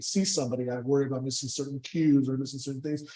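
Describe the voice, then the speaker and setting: A man with an American accent talks at a very fast pace. His intonation is fairly even, with noticeable background noise. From Southern California. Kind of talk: Q&A discussion at a seminar. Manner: halting, many repeats and fillers.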